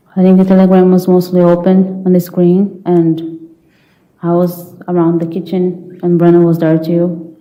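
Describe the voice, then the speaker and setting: A woman with a non-native accent talks at a fairly slow pace in a fairly low pitch, with audible room echo around her. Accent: foreign. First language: not English. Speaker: trial witness. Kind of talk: courtroom testimony. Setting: courtroom.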